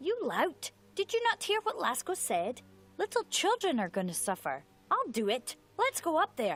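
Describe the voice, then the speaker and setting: The speaker uses a put-on character voice at a moderate pace. Its pitch is extremely high. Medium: video game. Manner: earnest, hesitant.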